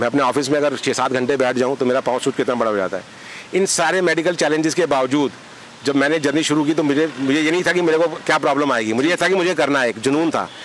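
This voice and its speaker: A man speaks with very even loudness and ordinary pitch variation. Noticeable background noise is present. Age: 50s. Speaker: retired businessman and road traveller. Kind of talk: press interview.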